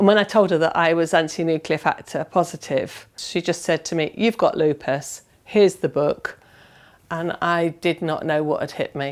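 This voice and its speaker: The speech moves at a moderate pace with fairly even intonation. It is a very clean recording with a silent background. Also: woman. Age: 50s. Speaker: patient with lupus, former army nurse. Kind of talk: personal testimony.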